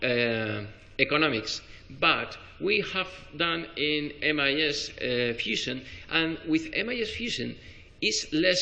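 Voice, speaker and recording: A man with a Spanish accent talks at a very slow pace and fairly high pitch. Audible room echo surrounds his voice. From Spain. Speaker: spine surgeon. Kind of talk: conference talk. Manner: halting, many fillers and restarts.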